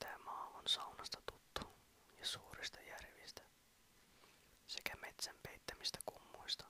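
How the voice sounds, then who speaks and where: A man whispers at a very slow pace. Noticeable noise runs in the background. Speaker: ASMR whisper creator. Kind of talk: poetry reading. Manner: whispered.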